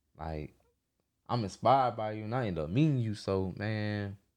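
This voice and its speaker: The background is quiet as a man talks with an American accent. He keeps a moderate pace. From US South, Atlanta area (Georgia). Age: 20s. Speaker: music producer. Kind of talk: casual interview. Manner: laid-back.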